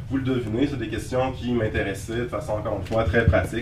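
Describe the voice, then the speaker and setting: A medium-pitched man with a Quebec accent, amid noticeable background noise and audible room echo. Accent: Québécois French. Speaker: lecturer and writer. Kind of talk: lecture. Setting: lecture hall with audience. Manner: hesitant, many fillers.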